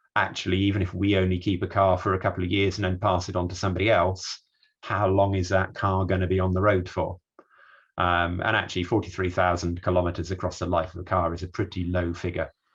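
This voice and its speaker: A man's very deep, low voice, somewhat breathy, rushes along at a very fast pace in a monotone, flat delivery. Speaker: energy systems researcher. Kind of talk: online talk / presentation.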